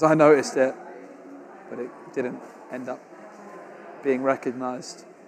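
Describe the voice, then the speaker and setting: Against noticeable background noise, a man speaks with an English accent. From England. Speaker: tournament caster. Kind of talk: live commentary. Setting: live stream at tournament. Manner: animated.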